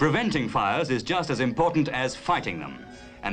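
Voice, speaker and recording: Music plays in the background as a man speaks. His intonation is lively and his pace moderate. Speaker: documentary narrator. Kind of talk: cinema documentary narration.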